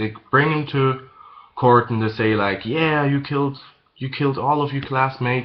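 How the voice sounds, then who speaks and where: This man speaks at a moderate pace with a non-native accent. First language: not English. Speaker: manga reviewer. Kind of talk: casual video review. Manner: halting, many fillers and repeats.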